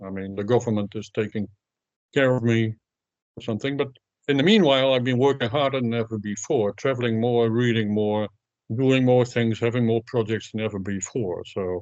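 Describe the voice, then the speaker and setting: This is a normal speaking voice, a man's at medium pitch. He moves at a fairly quick pace with fairly even intonation. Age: 60s. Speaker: sprint coach and author. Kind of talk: interview.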